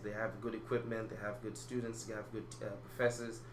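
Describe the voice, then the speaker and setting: Fairly quick talk from a man, with noticeable background noise and audible echo from the room. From Malawi. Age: 20s. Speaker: acting student. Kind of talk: interview. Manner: halting.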